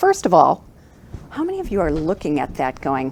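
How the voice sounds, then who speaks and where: Over noticeable background noise, a woman speaks at a moderate pace with a North American accent. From United States. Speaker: keynote speaker. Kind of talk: keynote speech. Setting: stage with live audience and Zoom.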